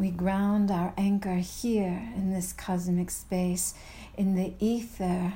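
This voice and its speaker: A very slow, monotone woman's voice at medium pitch, dark and mellow, somewhat breathy, with very even loudness. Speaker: poet and podcast host. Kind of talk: spoken-word poetry, sensual incantation. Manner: slow, hushed, intimate, rhythmic and incantatory.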